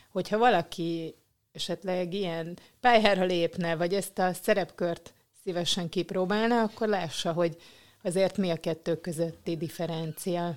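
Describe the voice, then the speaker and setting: A woman with a plain, everyday voice speaks at a moderate pace with fairly even intonation. Her pitch is fairly low, and the recording is very clean with a silent background. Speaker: podcast host. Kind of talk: interview. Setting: office.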